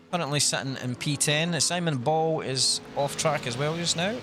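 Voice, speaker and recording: This man speaks with a Scottish accent. His pitch is fairly high, with ordinary variation. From Scotland. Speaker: sim racing commentator. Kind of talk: live commentary. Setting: live stream.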